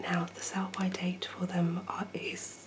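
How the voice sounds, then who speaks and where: Noticeable noise runs in the background. A woman whispers through it. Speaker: ASMR creator cooking host. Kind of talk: ASMR product review talk to camera. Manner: soft-spoken.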